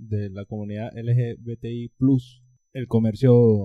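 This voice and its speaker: A man at a medium pitch speaks in a dark, mellow tone with a dry, close sound with no echo. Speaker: podcast co-host, political scientist. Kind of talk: casual chat.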